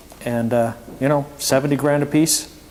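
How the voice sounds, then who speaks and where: A man with an American accent at a moderate pace, fairly even intonation, and noticeable background noise. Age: 60s. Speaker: performance car company owner. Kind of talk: Q&A presentation to students. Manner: conversational, many fillers.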